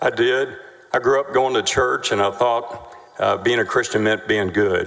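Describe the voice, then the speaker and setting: With a Texan accent, a man speaks at a moderate pace over noticeable background noise. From Texas, Denton. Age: 60s. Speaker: trial witness. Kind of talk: witness testimony. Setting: courtroom. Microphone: too far from the mic.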